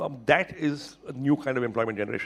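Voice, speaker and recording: A man with an Indian accent talks with fairly even intonation. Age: 60s. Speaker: internet entrepreneur. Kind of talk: panel interview at a summit.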